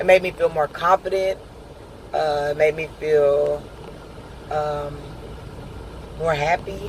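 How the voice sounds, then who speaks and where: Delivered fairly slowly, the talking comes through noticeable background noise. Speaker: video blogger and truck driver. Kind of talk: casual video diary update. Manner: hesitant, many filler words.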